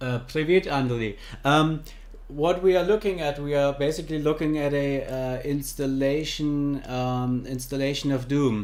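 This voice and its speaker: A man with a German accent speaks at a moderate pace, his fairly high pitch showing ordinary pitch variation. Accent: German accent, noticeable. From Germany. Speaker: livestreamer. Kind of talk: casual livestream chat. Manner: halting, many fillers and repeats.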